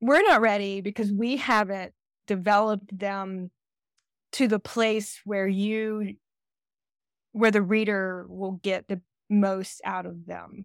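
In a very clean recording with a silent background and a dry, close sound with no echo, a woman with a Southern US accent speaks very slowly in a flat monotone, with long, frequent pauses and big swings in loudness. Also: medium pitch for a woman. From US, Georgia. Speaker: romance author. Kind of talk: interview.

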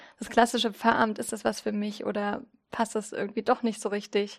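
A woman speaks at a fairly quick pace in a fairly high pitch. Her intonation stays monotone and flat. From Saxony, Zittau (eastern Germany). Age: 30s. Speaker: church community educator. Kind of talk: interview. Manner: casual, with frequent fillers.

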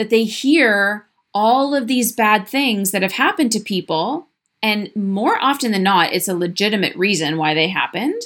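A woman speaks with an ordinary speaking voice at a medium pitch, her intonation lively. The recording is very clean, with a silent background. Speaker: podcast host, practitioner business coach. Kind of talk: solo monologue podcast episode. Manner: conversational, candid.

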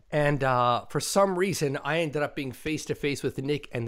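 On a very clean recording with a silent background, a man with an unremarkable speaking voice talks at a moderate pace, his pitch fairly high and its variation ordinary. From immigrant to the US. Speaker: podcast host. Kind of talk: casual chat.

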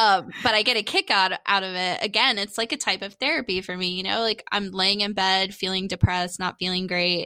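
At a fairly quick pace with hardly any pauses, a woman talks in a bright, sharp tone at a medium pitch with fairly even intonation, the sound dry and close with no echo on a very clean recording over a silent background. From Florida, Daytona area (Holly Hill). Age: 30s. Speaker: comedian and podcaster. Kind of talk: casual chat. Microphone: new USB microphone, crisp and clear.

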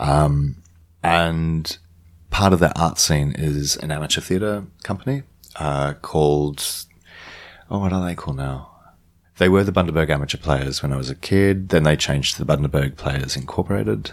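A man with an Australian accent and a very deep, low pitch. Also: ordinary pitch variation, moderate pace. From Queensland, Australia. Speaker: actor and director. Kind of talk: casual interview chat. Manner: reflective, low energy.

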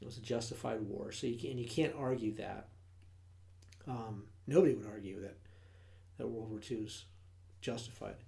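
A man's somewhat breathy, dark, mellow voice at medium pitch, with ordinary pitch variation, a moderate pace, long, frequent pauses and audible room echo. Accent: American. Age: 40s. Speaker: podcast co-host. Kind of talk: casual chat.

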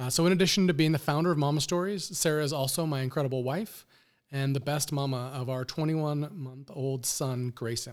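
A man talks at a fairly quick pace with a fairly high pitch. The recording is very clean, with a silent background. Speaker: podcast producer and guest host. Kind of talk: casual interview chat. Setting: studio. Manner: monotone.

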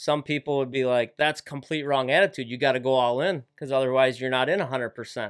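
In a very clean recording with a silent background, a man uses a normal speaking voice at medium pitch with fairly even intonation. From Wisconsin, Lake Winnebago area. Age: 30s. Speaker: professional walleye angler. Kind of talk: casual interview. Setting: studio.

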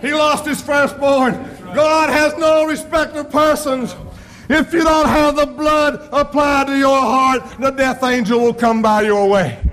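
An extremely high-pitched man at a very slow pace, with ordinary pitch variation and noticeable background noise. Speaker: preacher. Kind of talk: sermon. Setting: church. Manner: fervent, rolling preacher's cadence, building to exclamations; emotional, personal, testimony-like warmth.

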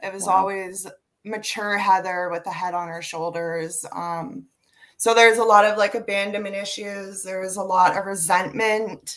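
Medium in pitch, a woman with a Canadian accent speaks in a plain, everyday voice at a moderate pace. Her loudness swings widely. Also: fairly even intonation. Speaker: prison reform advocate, former inmate. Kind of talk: casual interview.

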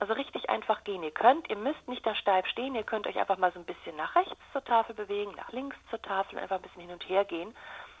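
A woman rattles on at a very fast pace with hardly any pauses. Her intonation is lively, and there is noticeable background noise. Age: 40s. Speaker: communication trainer. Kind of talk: interview. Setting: phone call.

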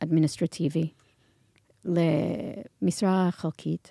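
A woman with an American accent speaks very slowly in a dark, mellow tone with ordinary pitch variation, recorded dry and close with no echo on a very clean track against a silent background. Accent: American English accent in Hebrew. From US, New York. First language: English (speaking Hebrew). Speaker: marketing executive and nonprofit founder. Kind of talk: interview. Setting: studio. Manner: halting.

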